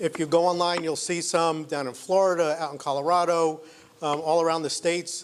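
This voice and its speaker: The voice is loud, at a fairly quick pace. Its intonation is monotone and flat. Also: man, high pitch for a man. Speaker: entrepreneur. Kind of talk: business pitch presentation. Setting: event venue with live audience, live stream.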